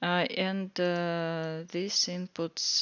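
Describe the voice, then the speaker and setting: The speaker has a Russian accent and a very slow pace. The intonation is monotone and flat. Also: woman. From Russia (Moscow). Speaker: student presenting a coding project. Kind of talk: project walkthrough tutorial. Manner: halting, many fillers.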